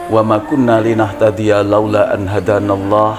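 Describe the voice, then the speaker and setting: Over music in the background, a man talks at medium pitch in a monotone, flat intonation. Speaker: religious lecturer. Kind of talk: Islamic sermon (tausiyah) to an audience.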